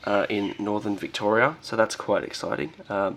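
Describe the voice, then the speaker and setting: A man with an Australian accent, over noticeable background noise. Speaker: reptile keeper and YouTuber. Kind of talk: casual video presentation. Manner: hesitant, many fillers.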